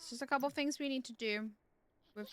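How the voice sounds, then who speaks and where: A woman speaks with a West Country accent. Her intonation is lively. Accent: British, South West England. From Devon, England. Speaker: streamer. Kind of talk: casual livestream gaming talk.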